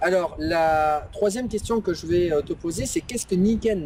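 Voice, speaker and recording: A man speaks with ordinary pitch variation. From Bordeaux, France. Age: 30s. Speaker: interviewer, online entrepreneur. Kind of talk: interview. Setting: outdoors by a lake. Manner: hesitant, many fillers.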